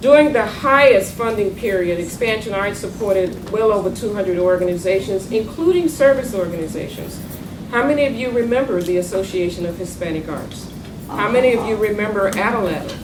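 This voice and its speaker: A woman with a Southern US accent speaks at a fairly quick pace and medium pitch, her intonation lively, with audible room echo and noticeable background noise. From North Carolina, US South. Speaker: arts funding consultant, former federal arts official. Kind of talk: panel talk.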